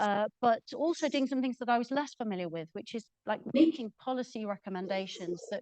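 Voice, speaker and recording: Speaking at a fairly quick pace, a woman uses lively intonation in a dry, close recording with no echo. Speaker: professor and health data researcher. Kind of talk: presentation at an event. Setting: event with live audience and microphone.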